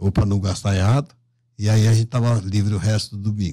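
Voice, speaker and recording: A man speaks in a dark, mellow, somewhat breathy tone. The background is quiet. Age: 70s. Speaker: journalist and political candidate; journalist, candidate. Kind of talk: radio interview. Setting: radio studio. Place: studio. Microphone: studio mic.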